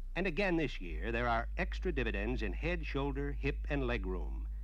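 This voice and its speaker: With a confident tone, a man speaks at a moderate pace in a very deep, low, somewhat breathy voice. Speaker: promotional film narrator. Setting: studio voice-over on a vintage dealer film. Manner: formal, brisk, confident announcer delivery.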